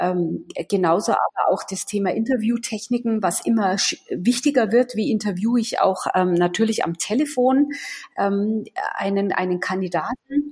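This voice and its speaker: At a moderate pace, a woman speaks in a normal speaking voice with a fairly high pitch. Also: lively intonation. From Munich, Bavaria. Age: 40s. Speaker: sales and HR consultant. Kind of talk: interview.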